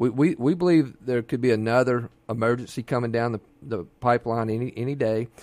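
This man talks with a Mississippi accent. His pace is fairly quick. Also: medium pitch for a man, ordinary pitch variation. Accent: Mississippi Southern US. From Mississippi Gulf Coast. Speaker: physician and governor candidate. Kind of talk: radio interview. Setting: radio studio.

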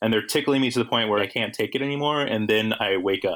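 With an American accent, a man speaks at a fairly quick pace, his medium pitch carried by fairly even intonation. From lives in New York City. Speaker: actor and comedian. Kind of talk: casual chat. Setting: remote call.

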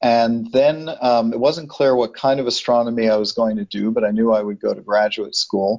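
Speaking in a plain, everyday voice with an American accent, a man keeps a moderate pace and a medium pitch, his intonation fairly even and hardly any pauses breaking his speech. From New York City. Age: 60s. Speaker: planetary scientist. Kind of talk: interview.

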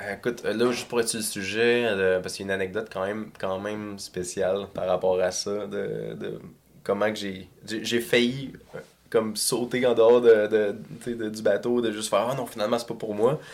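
Using an unremarkable speaking voice, a man talks at a moderate pace with fairly even intonation. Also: fairly low pitch for a man. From Quebec, South Shore of Montreal (Saint-Bruno). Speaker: metal singer and songwriter. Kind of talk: casual interview chat.

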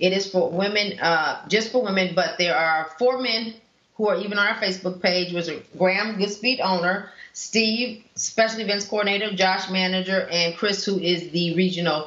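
Fairly even intonation marks this unremarkable speaking voice with an American accent. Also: woman, medium pitch for a woman, moderate pace. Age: 50s. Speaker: cyclist. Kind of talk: casual chat. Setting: studio.

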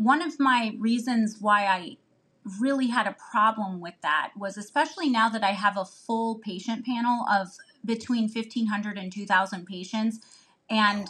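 A woman with a Midwestern American accent speaks at a moderate pace in a bright, sharp tone, fairly high in pitch with ordinary pitch variation. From Northeast Ohio. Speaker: family physician. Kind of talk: casual chat.

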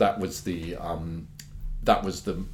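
A man's somewhat breathy voice shows ordinary pitch variation. Audible room echo surrounds it. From London, England. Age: 50s. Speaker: pearl dealer. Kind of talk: interview.

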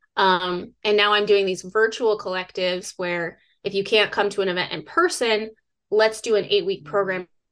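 Over a quiet background, a woman with a normal speaking voice and medium pitch talks at a moderate pace. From US Northwest (northern Idaho). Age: 30s. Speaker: survivalist and outdoor educator. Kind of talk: interview.

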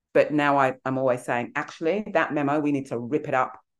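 Over a quiet background, the voice moves at a fairly quick pace with fairly even intonation. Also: woman. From England, Nigerian heritage. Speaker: executive coach and author. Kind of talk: interview, conversational.

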